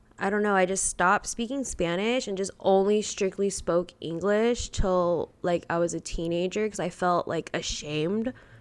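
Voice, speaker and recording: With an American accent, a woman speaks at a moderate pace in a medium pitch, a plain, everyday voice with ordinary pitch variation and hardly any pauses. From Texas, Houston and Brownwood. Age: 20s. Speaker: podcast guest, bartender. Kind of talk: casual chat.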